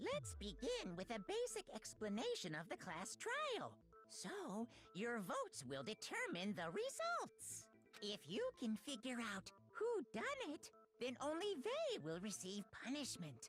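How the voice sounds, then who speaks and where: A put-on character voice unfolds at a fairly slow pace with clear music playing in the background. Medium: game stream. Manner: matter-of-fact, ominous.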